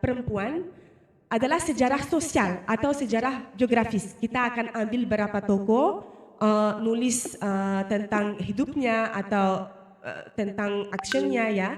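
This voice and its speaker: A woman talks at a fairly slow pace. Her fairly high pitch shows ordinary variation. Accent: non-native. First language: not Indonesian (speaking Indonesian). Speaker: researcher. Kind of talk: research presentation. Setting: presentation with live and online audience. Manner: halting, many fillers.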